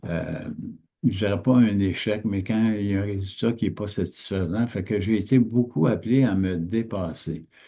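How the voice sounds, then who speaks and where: Against a quiet background, a man with a dark, mellow tone speaks at a fairly slow pace and fairly low pitch, his intonation fairly even. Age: 70s. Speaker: business coach. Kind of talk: motivational talk. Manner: halting.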